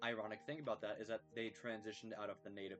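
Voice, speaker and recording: Over music in the background, a man at medium pitch speaks fairly quickly with lively intonation. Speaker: educational youtuber reading textbook aloud. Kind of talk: casual commentary after reading aloud. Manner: halting, some stuttering.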